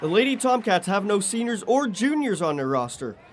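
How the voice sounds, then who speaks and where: A man speaks at a fairly quick pace with a high pitch and very wide pitch swings, over noticeable background noise. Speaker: sports anchor and reporter. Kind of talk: TV sports anchoring and reporting.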